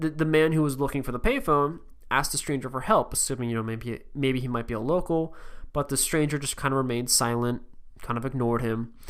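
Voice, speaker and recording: A man talks very fast at a medium pitch. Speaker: podcast host. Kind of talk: podcast narration of paranormal stories. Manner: monotone; casual with many fillers.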